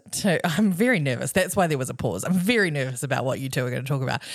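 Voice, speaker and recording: A woman with a New Zealand accent speaks at a very deep, low pitch with very wide pitch swings. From New Zealand, Nelson region. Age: 30s. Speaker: podcast co-host. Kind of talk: casual chat. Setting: family beach house.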